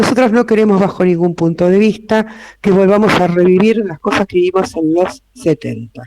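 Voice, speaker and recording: A man with an Argentine accent speaks in a high voice at a moderate pace. His pitch varies in an ordinary way. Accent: Rioplatense Argentine Spanish. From Argentina, Buenos Aires city. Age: 60s. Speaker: lawyer and notary, invited speaker. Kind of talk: public talk to a live audience. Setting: room with live audience.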